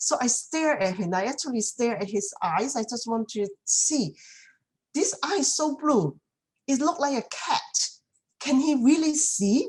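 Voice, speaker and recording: A woman with a Chinese accent speaks at a high pitch. Her pace is fairly slow, with very wide pitch swings. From China. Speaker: community speaker. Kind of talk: talk. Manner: halting, many fillers.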